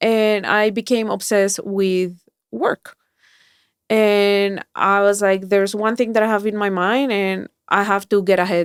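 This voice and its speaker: A woman with a Spanish accent speaks at a fairly slow pace and medium pitch, with monotone, flat intonation and very even loudness. The recording is very clean, with a silent background and a dry, close sound with no echo. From Colombia. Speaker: mindset coach and keynote speaker. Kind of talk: podcast interview.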